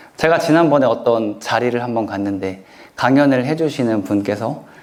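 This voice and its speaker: A man's medium-pitched voice with lively intonation at a moderate pace, plus audible room echo. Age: 30s. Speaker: author and self-help lecturer. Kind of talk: lecture Q&A answer.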